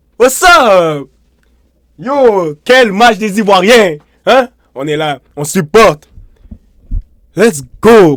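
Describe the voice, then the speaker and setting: At a very slow pace with long, frequent pauses, a man talks at a high pitch with lively intonation and big swings in loudness. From Côte d'Ivoire. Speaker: football YouTuber. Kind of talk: match reaction video. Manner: animated.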